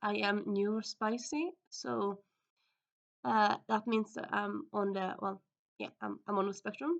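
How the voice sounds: With vocal fry, a woman talks at a medium pitch and fairly slow pace, keeping her intonation fairly even.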